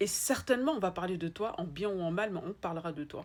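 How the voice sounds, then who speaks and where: A woman with an Ivorian accent and a fairly low pitch speaks in an animated tone. Her pace is fairly quick. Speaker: spiritual life coach. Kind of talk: motivational talk. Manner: repetitive, emphatic.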